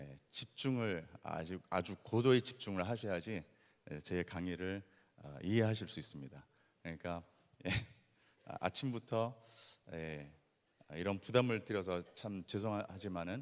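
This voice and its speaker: A man's very deep, low voice with ordinary pitch variation, big swings in loudness, and long, frequent pauses. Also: fairly slow pace. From Latin America (born in Brazil). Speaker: missionary. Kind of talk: lecture. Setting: stage with audience. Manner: halting, many fillers.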